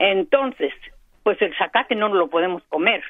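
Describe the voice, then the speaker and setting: This is a woman's voice. It has ordinary pitch variation. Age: 80s+. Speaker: caller. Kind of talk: call-in comment. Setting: phone call.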